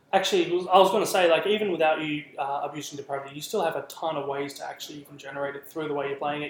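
A man talks very fast in an Australian accent with fairly even intonation. There is noticeable background noise. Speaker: guest, competitive tabletop gamer. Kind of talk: casual banter. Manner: jokey, self-deprecating.

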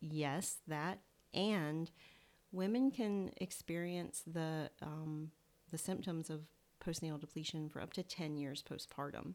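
In a Southern US accent, a woman speaks at a fairly slow pace with a very deep, low pitch. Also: ordinary pitch variation. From US South. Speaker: naturopathic doctor. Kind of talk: casual interview chat. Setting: in-person at host's home.

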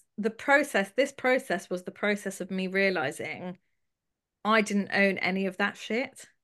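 Speaking at a fairly slow pace with a London accent, a woman with a fairly high pitch is heard against a quiet background. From London, England (Haredi community). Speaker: abuse survivor and charity founder. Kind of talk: testimony.

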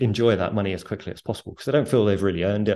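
A man with a British accent, fairly low in pitch, dark and mellow in tone, with ordinary pitch variation and a quiet background. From UK. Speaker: author and former investment strategist. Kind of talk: casual interview.

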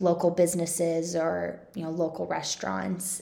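A woman with a Midwestern American accent has a fairly low pitch and a dark, mellow tone. Audible room echo surrounds her voice. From Kansas City suburbs, Johnson County. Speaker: podcast host, local influencer. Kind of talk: casual monologue.

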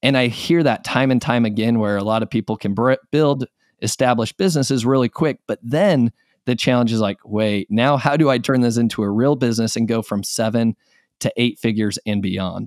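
On a very clean recording with a silent background, a man with an American accent talks at a fairly quick pace, medium in pitch with ordinary variation, in a dry, close sound with no echo. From Utah. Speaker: e-commerce business owner. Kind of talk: interview.

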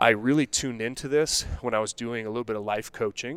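In a normal speaking voice, a man with an American accent talks at a fairly quick pace with fairly even intonation. The recording is very clean, with a silent background. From Colorado, US. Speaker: men's health coach. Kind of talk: casual interview. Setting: studio.

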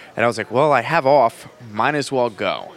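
A man with an American accent and a bright, sharp tone. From New Jersey. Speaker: bartender. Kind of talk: casual interview. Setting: bar.

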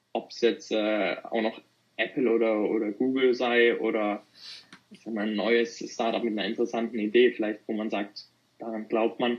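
At a moderate pace, a man speaks in a monotone, flat intonation, with big swings in loudness. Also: medium pitch for a man. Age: 20s. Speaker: student and young private investor. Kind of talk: casual interview. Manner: halting, many fillers.

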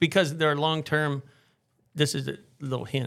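A man is heard in a very clean recording where the background is completely silent. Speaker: podcast host. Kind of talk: casual interview chat. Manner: playful, joking.

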